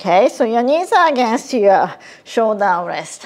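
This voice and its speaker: A woman speaks with very wide swings in pitch. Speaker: pilates instructor. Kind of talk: tutorial. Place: home room.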